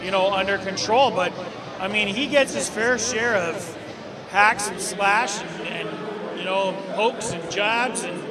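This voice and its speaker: A man speaks in a raised, projected voice at a fairly slow pace. Noticeable background noise runs underneath. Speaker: interview guest. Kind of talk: interview answer. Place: stadium. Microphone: handheld.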